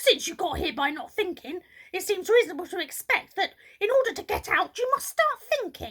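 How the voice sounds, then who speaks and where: A woman puts on a gruff character voice with an extremely high pitch. She talks at a fairly quick pace with very wide pitch swings. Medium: read story. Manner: gruff, impatient.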